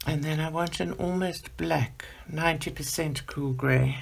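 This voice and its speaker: A woman's very slow delivery. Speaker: art channel host, adult colouring. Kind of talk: colour-along tutorial. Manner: soft, voice fades while working.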